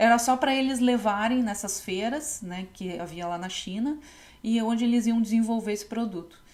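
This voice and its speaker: Here is a woman with a normal speaking voice and fairly high pitch. She speaks at a moderate pace with ordinary pitch variation. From Novo Hamburgo, Rio Grande do Sul, Brazil. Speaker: textile designer and podcast host. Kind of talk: casual podcast talk.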